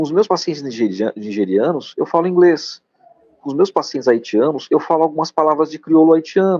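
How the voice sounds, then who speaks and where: A normal speaking voice with lively intonation at a fairly quick pace. The sound is dry and close, with no echo. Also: man. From Piauí, Brazilian Northeast. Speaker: doctor. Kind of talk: live-stream interview. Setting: live stream.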